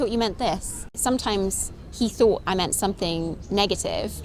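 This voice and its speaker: A woman with a British accent, music in the background. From Britain. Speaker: interviewee, wife of a Japanese man. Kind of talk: interview. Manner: fast when excited.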